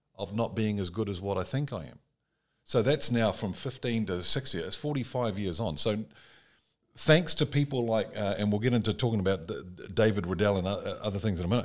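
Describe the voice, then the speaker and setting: A man with an unremarkable speaking voice talks at a fairly quick pace and a fairly low pitch. His pitch variation is ordinary, on a very clean recording with a silent background. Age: 60s. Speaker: podcast host. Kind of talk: casual chat.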